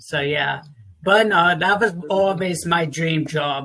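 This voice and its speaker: Very slowly, a man speaks in a high pitch with fairly even intonation. Noticeable background noise runs underneath. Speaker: talk show host. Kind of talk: casual interview.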